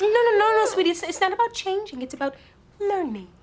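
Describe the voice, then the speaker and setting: A woman's squeaky put-on character voice at an extremely high pitch, with lively intonation and a very fast pace. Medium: short film. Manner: sugary with sudden sharp edges.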